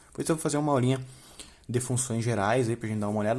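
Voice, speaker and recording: With ordinary pitch variation, a man talks in a medium-pitched voice. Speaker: math teacher. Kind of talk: tutorial. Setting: home. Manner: fast; casual.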